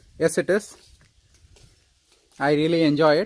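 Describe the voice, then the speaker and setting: A man speaks at a moderate pace. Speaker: rainwater harvesting enthusiast, homeowner. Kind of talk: informal video update answering viewer questions. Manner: halting, self-correcting.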